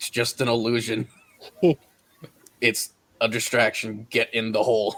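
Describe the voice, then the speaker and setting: A man puts on a raspy character voice at a medium pitch. He talks at a moderate pace with long, frequent pauses. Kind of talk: conspiratorial aside.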